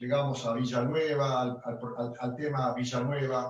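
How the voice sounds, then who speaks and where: Somewhat breathy, a man speaks at a medium pitch. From Argentina, Rosario (Santa Fe). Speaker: chamamé accordionist. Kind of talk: interview. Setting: video call. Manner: halting, many repetitions.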